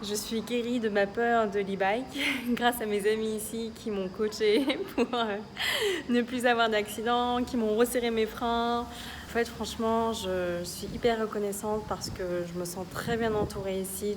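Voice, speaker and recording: A woman's fairly high voice holds a fairly even intonation while noticeable background noise carries on. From Paris, France. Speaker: researcher and swing dancer. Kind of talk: casual vlog talk to camera.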